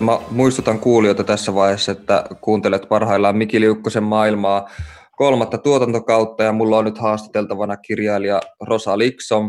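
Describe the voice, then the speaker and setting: A man with a fairly low pitch speaks at a moderate pace in a monotone, flat intonation, his loudness very even. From Oulu, northern Finland. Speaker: podcast host, writer. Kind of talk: interview conversation. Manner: hesitant, many fillers.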